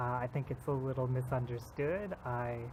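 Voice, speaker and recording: Here a man talks at a medium pitch with fairly even intonation. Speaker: mental health vlogger. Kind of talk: casual vlog monologue. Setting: outdoors, walking at night. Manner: loud; hesitant, many fillers.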